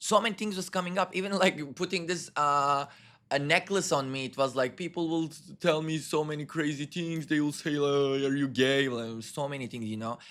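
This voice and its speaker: The voice has a non-native accent and a bright, sharp tone. The recording is very clean, with a silent background. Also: man. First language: not English. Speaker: spiritual channeler. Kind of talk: channeling session.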